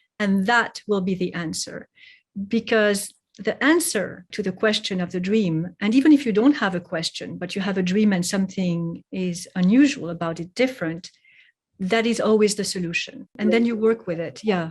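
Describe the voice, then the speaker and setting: Somewhat breathy, a woman with a French accent speaks at a moderate pace against a quiet background. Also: medium pitch for a woman, ordinary pitch variation. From Geneva, Switzerland and France. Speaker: poet and translator. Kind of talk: interview conversation. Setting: podcast.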